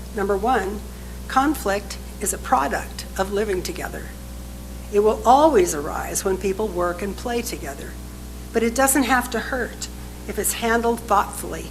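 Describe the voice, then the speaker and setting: Amid noticeable background noise and audible room echo, a woman talks at a moderate pace. She leaves long, frequent pauses. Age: 80s+. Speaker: minister. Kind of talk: sermon.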